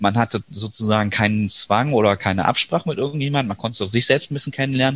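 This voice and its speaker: Talking at a very fast pace, a man with a medium pitch and ordinary pitch variation comes through dry and close with no echo, in a very clean recording with a silent background. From Düsseldorf, Germany. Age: 30s. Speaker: teacher and parliamentary candidate. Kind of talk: interview.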